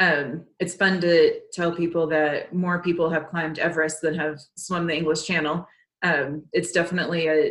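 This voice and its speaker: The woman's pitch is fairly low. She speaks at a moderate pace. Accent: American. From Texas. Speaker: marathon swimmer. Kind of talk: interview. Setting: remote call from home.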